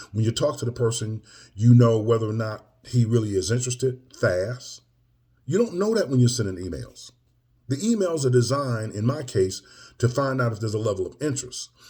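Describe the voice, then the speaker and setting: A man speaks at medium pitch with a dark, mellow tone, somewhat breathy, with ordinary pitch variation. His pace is fairly quick, and the recording is very clean with a silent background. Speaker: M&A business coach. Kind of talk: casual video update. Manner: preachy, emphatic; filler-heavy, conversational.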